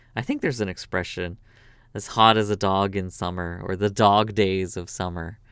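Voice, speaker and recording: A man with a Canadian accent speaks at a moderate pace in a relaxed tone and a fairly low voice. His intonation is monotone and flat, on a very clean recording with a silent background. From Canada. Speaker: podcast host. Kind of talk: casual monologue. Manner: relaxed, with fillers and laughs.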